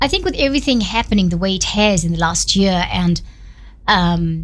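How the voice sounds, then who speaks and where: A woman speaks at a moderate pace with very even loudness. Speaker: radio host. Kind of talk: radio interview. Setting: radio studio.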